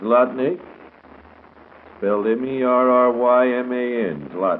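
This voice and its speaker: A man with an American accent speaks at a very slow pace, medium in pitch with ordinary pitch variation. Noticeable background noise is present. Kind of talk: 1930s radio morning show host patter and commercial reads. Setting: vintage radio broadcast recording. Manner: brisk announcer delivery, reading ads and time checks.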